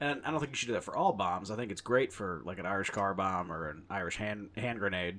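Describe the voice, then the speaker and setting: Bright and sharp, a man's animated voice moves at a fairly quick pace. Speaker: podcast host. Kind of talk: casual banter, profane. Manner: animated, crude.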